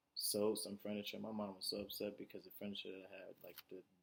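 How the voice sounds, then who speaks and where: A man's soft-spoken delivery, moderate in pace. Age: 20s. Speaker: vlogger. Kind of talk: personal monologue. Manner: halting.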